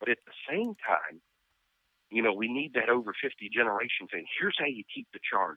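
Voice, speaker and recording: Speaking at a moderate pace in a normal speaking voice, the man has a medium pitch and big swings in loudness. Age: 40s. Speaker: pastor. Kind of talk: interview.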